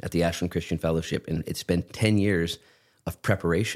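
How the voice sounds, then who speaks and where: A man with an unremarkable speaking voice talks at a fairly quick pace and a fairly even intonation, on a very clean recording with a silent background. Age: 40s. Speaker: pastor. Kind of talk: casual chat. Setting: studio.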